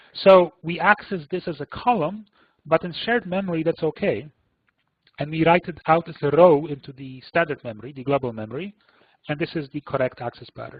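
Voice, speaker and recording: In an ordinary speaking voice, a man with fairly high pitch talks at a fairly quick pace, using lively intonation and big swings in loudness. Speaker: computing analyst presenting a seminar. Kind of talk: technical webinar lecture. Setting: online webinar.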